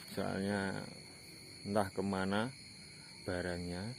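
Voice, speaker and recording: A man is speaking. His pitch sits fairly low. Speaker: paranormal explorer vlogger. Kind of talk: vlog narration. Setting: outdoors at night near houses. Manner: quiet, lowered voice.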